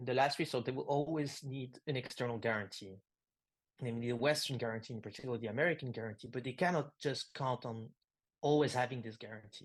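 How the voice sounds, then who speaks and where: With a French accent, a man talks fairly quickly at a medium pitch, using ordinary pitch variation against a quiet background. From France. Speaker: philosopher and writer. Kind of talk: interview conversation. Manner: halting, many fillers.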